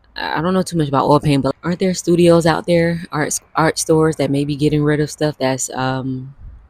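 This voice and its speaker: A woman's very deep, low voice, fairly quick and fairly even in intonation, with a dry, close sound and no echo. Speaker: self-improvement YouTuber. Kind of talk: motivational talk. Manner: not loud, natural conversational. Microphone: new mic, audio may be poor.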